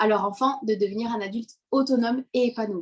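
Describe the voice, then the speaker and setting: Moderately paced, a woman speaks at a fairly high pitch with ordinary pitch variation. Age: 20s. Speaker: parenting coach. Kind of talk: interview.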